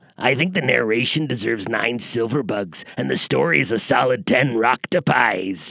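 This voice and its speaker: A man's put-on character voice at medium pitch, with very wide pitch swings, a moderate pace and hardly any pauses. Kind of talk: comic military jargon. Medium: audio drama. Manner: clipped, formal, military.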